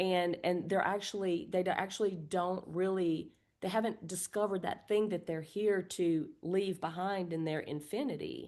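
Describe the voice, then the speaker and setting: A woman speaks at a medium pitch and a moderate pace, with an unremarkable speaking voice. Her intonation stays fairly even, and she hardly pauses at all. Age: 60s. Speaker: birth community co-founder. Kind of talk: podcast interview.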